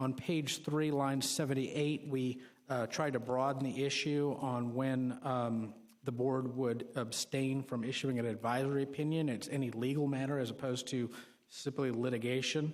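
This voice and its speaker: A man of medium pitch talks at a moderate pace. His intonation is monotone and flat, and his loudness is very even. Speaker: city legal staff presenting to ethics board. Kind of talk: public board meeting presentation.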